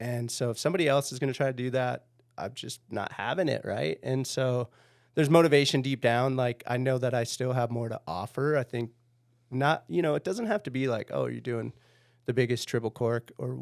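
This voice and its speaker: Speaking at a fairly quick pace on a very clean recording with a silent background, a man with an American accent has an unremarkable speaking voice at medium pitch with ordinary pitch variation. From Minnesota. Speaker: pro snowboarder. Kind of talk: podcast interview.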